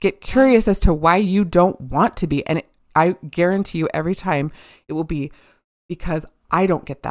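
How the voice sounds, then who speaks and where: In a very clean recording with a silent background and a dry, close sound with no echo, a woman with a plain, everyday voice speaks at a fairly low pitch and moderate pace, with ordinary pitch variation. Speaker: intuitive healer. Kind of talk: casual podcast conversation.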